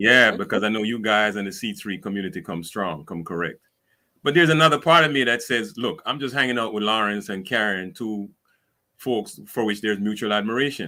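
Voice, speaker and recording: With a Caribbean accent, a man with a fairly low voice talks at a fairly quick pace with lively intonation. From Caribbean islands. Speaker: speaker and civic advisor. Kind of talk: panel discussion. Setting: live stream.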